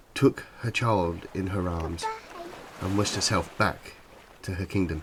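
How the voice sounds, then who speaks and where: With an English accent, a man with a very deep, low pitch talks at a fairly slow pace with fairly even intonation amid noticeable background noise. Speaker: narrator. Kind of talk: fairy tale reading.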